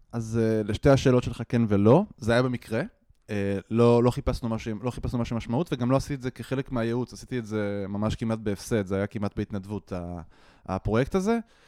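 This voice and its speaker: A man of medium pitch with a dark, mellow tone speaks at a fairly quick pace in a dry, close sound with no echo. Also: ordinary pitch variation, very clean recording, silent background. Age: 30s. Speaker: startup CTO and software developer. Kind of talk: casual interview.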